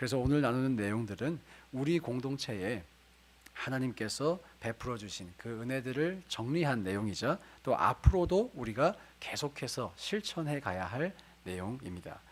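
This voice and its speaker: With lively intonation and a moderate pace, a man speaks in a normal speaking voice at a medium pitch. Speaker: pastor. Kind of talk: sermon.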